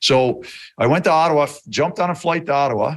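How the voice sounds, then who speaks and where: This man talks with a Newfoundland accent and lively intonation at a fairly quick pace. The background is quiet. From rural Newfoundland, Canada. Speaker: hockey trainer, former player. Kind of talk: casual interview chat. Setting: video call.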